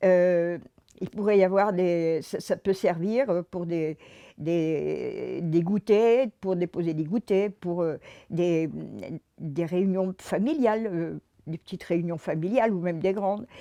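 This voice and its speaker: Against a quiet background, a woman speaks at a very slow pace with ordinary pitch variation, the sound dry and close with no echo. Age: 80s+. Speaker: resident presenting a civic project. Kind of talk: public project pitch. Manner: halting, many hesitations.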